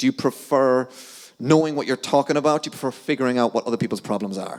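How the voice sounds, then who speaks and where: A man with a strong Irish accent talks at a very fast pace in an animated tone, at a medium pitch with ordinary pitch variation. The sound is dry and close with no echo. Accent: thick Irish. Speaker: sales account manager. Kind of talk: conference talk. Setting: stage with audience.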